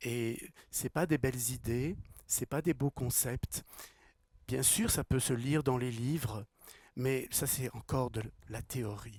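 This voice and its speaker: Very slowly, a man speaks in a somewhat breathy voice. The sound is dry and close, without echo. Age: 60s. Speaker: spiritual teacher and speaker. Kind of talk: talk to a live audience. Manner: repeats words, halting at times.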